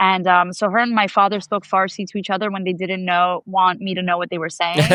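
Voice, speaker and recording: In a New York accent, a woman speaks at a medium pitch with monotone, flat intonation. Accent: New York American. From US, New York. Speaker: activist, attack survivor. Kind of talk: interview conversation. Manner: casual, filler-heavy.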